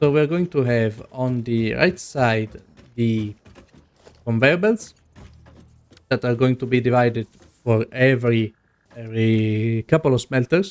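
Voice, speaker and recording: With a non-native accent, a man speaks at a medium pitch. His pace is very slow. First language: not English. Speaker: gaming video creator. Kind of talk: gameplay commentary. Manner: casual.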